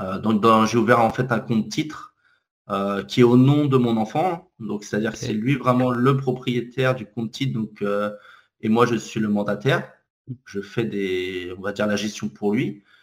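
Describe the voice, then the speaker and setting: Ordinary pitch variation shapes this speech, which keeps a moderate pace. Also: man, medium pitch for a man. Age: 30s. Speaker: author and corporate trainer. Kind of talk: interview. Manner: hesitant, many fillers.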